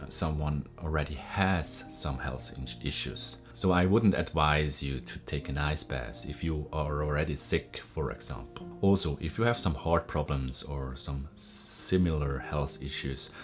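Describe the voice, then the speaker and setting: Over clear background music, a man with a very deep, low pitch talks at a fairly slow pace with ordinary pitch variation. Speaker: wellness YouTuber. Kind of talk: explanatory tutorial talk. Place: home room.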